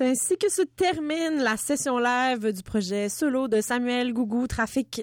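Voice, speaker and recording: In a very clean recording with a silent background, a woman with a Quebec accent speaks at a fairly slow pace, with high pitch and lively intonation. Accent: Québécois French. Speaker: radio host. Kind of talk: interview. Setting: studio.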